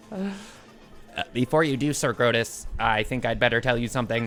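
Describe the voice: A put-on, robotic character voice sits at a low-to-middle pitch and moves at a fairly quick pace. Background noise is clear.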